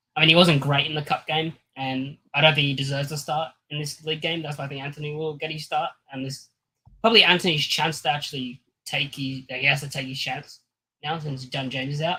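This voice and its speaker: Talking at a very fast pace with an Australian accent, a man uses a fairly high pitch, a bright, sharp tone and monotone, flat intonation. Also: big swings in loudness. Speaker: football fan panelist. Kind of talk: live stream panel chat.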